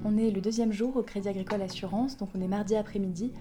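Delivered at a very fast pace, the voice has a dark, mellow tone and a monotone, flat intonation. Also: woman. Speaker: civic volunteer reporter. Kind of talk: audio vlog narration. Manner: quiet.

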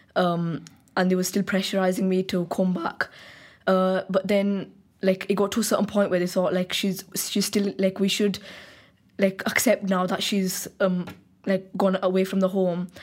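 A woman speaks at a moderate pace and medium pitch, her loudness very even and her intonation monotone and flat. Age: 20s. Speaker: university student, interview guest. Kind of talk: interview.

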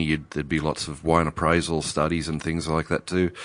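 Here a man speaks with an Australian accent and a very deep, low pitch. The background is quiet. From Australia, Newcastle NSW. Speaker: winemaker. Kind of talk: casual interview. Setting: in person.

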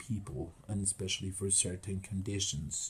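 With a Spanish accent, this man talks at a moderate pace in a fairly low, somewhat breathy voice. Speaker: podcast host. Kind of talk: casual interview chat.

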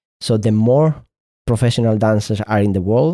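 A man with a Spanish accent speaks at a fairly low pitch in a dark, mellow tone with fairly even intonation. The sound is dry and close, with no echo. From Spain. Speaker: dancer and choreographer. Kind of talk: interview conversation. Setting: remote call over the internet.

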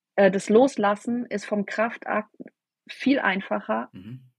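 A woman speaks with vocal fry. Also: dry, close sound with no echo. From southern Baden, Germany. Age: 40s. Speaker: network marketing team leader. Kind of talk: interview. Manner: hesitant, many fillers.

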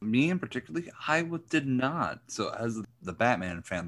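Recorded very cleanly against a silent background, a man with an unremarkable speaking voice talks at a moderate pace with lively intonation. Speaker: podcast co-host. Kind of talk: casual chat.

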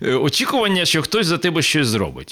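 His pitch leaps and dives across a very wide range. The man's voice carries vocal fry. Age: 50s. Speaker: public broadcaster manager and former city councillor. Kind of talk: casual chat. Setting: studio.

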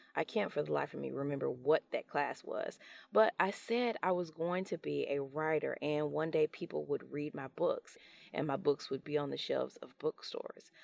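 The recording of this woman is dry and close with no echo, and she speaks at a moderate pace. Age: 40s. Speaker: podcast host and self-published author. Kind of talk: solo podcast monologue.

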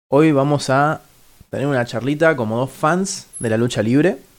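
In a Rioplatense accent, a man talks at a moderate pace and medium pitch with ordinary pitch variation. The recording is very clean with a silent background. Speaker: podcast host. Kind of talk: casual chat. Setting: studio. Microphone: new microphone.

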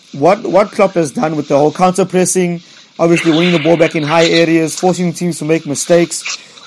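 A man talks at a fairly quick pace in a high voice with fairly even intonation. Noticeable background noise sits behind him. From South Africa. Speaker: football podcast host. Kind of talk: casual chat.

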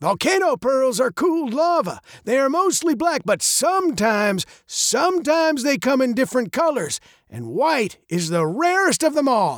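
A put-on character voice, gravelly and fairly slow, with big pitch swings, in a very clean recording with a silent background and a dry, close sound free of echo

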